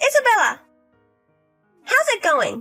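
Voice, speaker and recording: An extremely high, squeaky put-on character voice plays over faint music in the background. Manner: loud, slurred.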